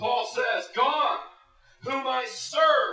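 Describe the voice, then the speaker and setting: A man's raised, projected voice at a very slow pace, with audible room echo. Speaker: pastor. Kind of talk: sermon.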